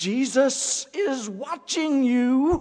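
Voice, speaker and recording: A put-on character voice speaks at a high pitch. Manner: squawking.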